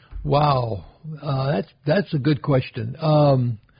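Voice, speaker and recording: With an American accent, this man talks at a medium pitch with ordinary pitch variation and a somewhat breathy quality. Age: 80s+. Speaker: retired real estate veteran. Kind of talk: casual interview. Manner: halting, with frequent repetitions.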